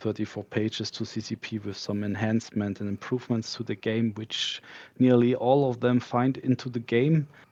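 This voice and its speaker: A man with a non-native accent at medium pitch, fairly even in intonation, at a moderate pace. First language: not English. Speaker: game community candidate. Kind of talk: interview. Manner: halting.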